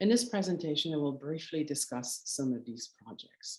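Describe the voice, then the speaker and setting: This woman has a very deep, low pitch. Her pitch swings very widely. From Canada, Quebec. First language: French. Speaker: curator. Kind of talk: lecture. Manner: halting.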